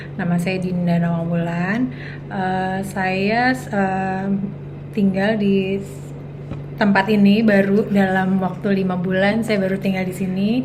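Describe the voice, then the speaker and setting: Amid noticeable background noise and audible room echo, a woman at medium pitch speaks at a very slow pace with fairly even intonation. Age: 40s. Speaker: make-up artist and entrepreneur. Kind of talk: casual interview chat. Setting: at her home. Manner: hesitant with many fillers.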